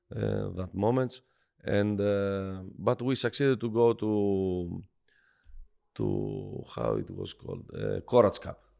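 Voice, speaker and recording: A man talks at a very slow pace, and the background is quiet. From Greece. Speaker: basketball head coach. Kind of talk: interview. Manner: halting, many fillers.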